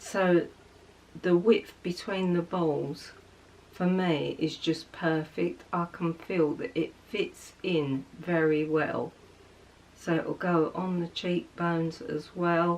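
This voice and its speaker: At a very slow pace, a woman talks in an English accent. Her pitch is fairly low and her intonation fairly even. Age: 60s. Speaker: beauty vlogger. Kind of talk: casual chat. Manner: chatty.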